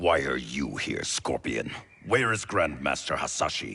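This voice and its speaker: A growling, stern put-on character voice from a man, very deep and low in pitch, at a moderate pace. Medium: video game. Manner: stern, distrustful.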